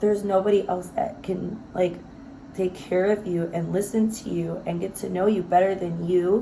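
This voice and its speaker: Over noticeable background noise and audible room echo, a woman speaks at medium pitch and a moderate pace. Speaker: self-help vlogger. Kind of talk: casual motivational monologue. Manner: free-flowing, filler-heavy.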